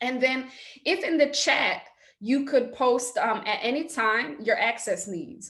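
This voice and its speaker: A woman speaks with an East Coast US accent. Her pace is fairly slow. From New York. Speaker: theatre director and educator. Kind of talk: workshop facilitation. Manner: crisp hard consonants.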